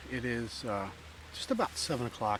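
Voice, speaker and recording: A quiet man speaks at a moderate pace and a medium pitch, with fairly even intonation. Noticeable background noise sits behind him. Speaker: backpacking vlogger. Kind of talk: outdoor vlog narration. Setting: outdoors on a trail. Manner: speaking quietly; casual with many fillers.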